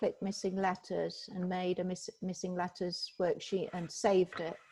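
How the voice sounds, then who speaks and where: Her voice comes out somewhat breathy. The speaker is a woman. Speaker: software trainer. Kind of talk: tutorial. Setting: video call.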